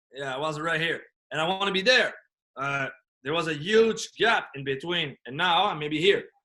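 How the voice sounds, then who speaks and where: The voice has a bright, sharp tone and lively intonation at a moderate pace. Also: man. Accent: French. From France. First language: French. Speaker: business coach and motivational speaker. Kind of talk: podcast interview. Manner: animated.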